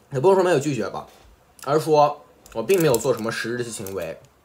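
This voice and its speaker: Speech races at a very fast pace with very wide pitch swings over light background noise. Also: man. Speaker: gaming youtuber. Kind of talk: apology video monologue. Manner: unscripted, with slips. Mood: defensive, earnest. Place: home room. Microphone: phone near.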